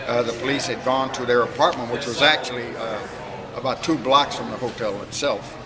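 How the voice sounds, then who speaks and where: Noticeable background noise and audible room echo surround the voice. The speech comes very fast with a fairly even intonation. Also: man. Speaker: hotel historian. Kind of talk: interview storytelling. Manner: hesitant with many fillers.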